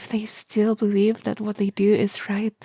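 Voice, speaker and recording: Her voice sits at medium pitch with a dark, mellow tone. The woman is somewhat breathy and talks at a moderate pace. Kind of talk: video essay commentary.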